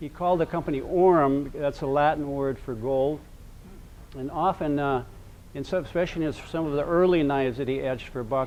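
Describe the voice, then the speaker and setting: A man's fairly high voice at a fairly quick pace, with fairly even intonation. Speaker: knife collector presenter. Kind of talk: seminar presentation. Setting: seminar room with audience. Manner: hesitant, many fillers; loud to be heard.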